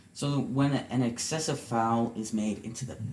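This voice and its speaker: Speaking at a fairly slow pace with fairly even intonation, a man is heard through audible room echo and noticeable background noise. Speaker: podcast co-host, soccer fan son. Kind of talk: casual chat. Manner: soft-spoken.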